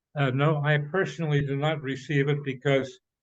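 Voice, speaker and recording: A man speaks in a Midwestern accent at a moderate pace. His pitch is fairly high and his intonation monotone and flat. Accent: American Midwestern. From US Midwest, Cincinnati, Ohio. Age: 90s. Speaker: retired professor. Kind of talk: conference discussion comment. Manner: halting, many fillers and restarts.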